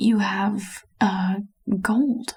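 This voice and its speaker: In a put-on character voice, a woman sounds croaky and nervous at a medium pitch. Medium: read story. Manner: nervous, hesitant.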